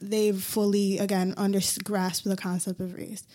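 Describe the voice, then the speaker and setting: A woman with an American accent uses an ordinary speaking voice at medium pitch, moving at a fairly slow pace. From Hartford, Connecticut, US. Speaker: recent graduate. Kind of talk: panel discussion. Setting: studio.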